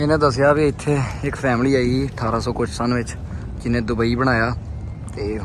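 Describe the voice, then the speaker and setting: Through noticeable background noise and audible room echo, a man speaks at a medium pitch and moderate pace with fairly even intonation. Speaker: travel vlogger. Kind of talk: vlog commentary, translating tour into Punjabi.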